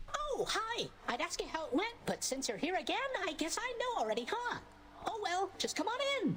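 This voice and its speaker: Over clear background noise, a put-on character voice with extremely high pitch moves at a fairly quick pace. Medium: video game. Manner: casual, upbeat.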